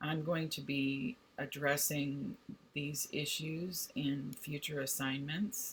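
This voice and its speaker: A woman speaks with a very deep, low pitch. Her voice is somewhat breathy, with a warm tone. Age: 60s. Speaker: college instructor. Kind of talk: direct video message to students. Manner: warm, conversational.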